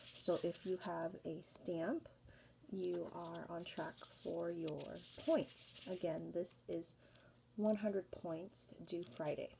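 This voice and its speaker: A woman whispers. Her pace is very slow. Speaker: school teacher. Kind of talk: recorded classroom instructions. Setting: at home. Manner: whispering.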